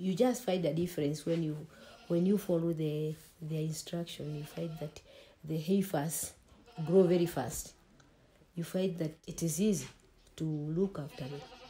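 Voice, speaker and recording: A somewhat breathy woman with a dark, mellow tone, long, frequent pauses and light background noise. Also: fairly low pitch for a woman, ordinary pitch variation, moderate pace. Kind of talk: interview answer. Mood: calm, explanatory. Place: home room.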